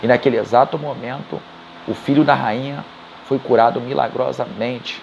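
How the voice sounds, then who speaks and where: A man with a medium pitch and ordinary pitch variation talks at a moderate pace, noticeable background noise around him. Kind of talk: casual spoken retelling of a book. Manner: halting, self-correcting.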